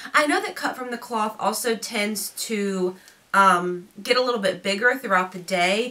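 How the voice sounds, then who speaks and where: Over noticeable background noise, a woman talks at a moderate pace in a fairly high pitch. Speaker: fashion youtuber. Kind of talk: unboxing try-on video. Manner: casual, chatty.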